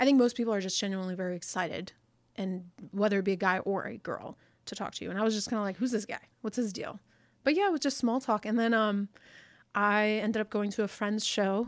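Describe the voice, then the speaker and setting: Talking at a very fast pace, a woman with an American accent has fairly high pitch and fairly even intonation. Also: very clean recording, silent background. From US, Pakistani-Indian family. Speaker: entrepreneur, fitness business owner. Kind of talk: casual chat.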